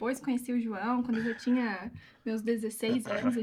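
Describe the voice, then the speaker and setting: A woman talks at a fairly quick pace in a fairly high pitch. Noticeable background noise runs under her voice. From Curitiba, Brazil. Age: 30s. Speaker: business owner. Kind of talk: interview.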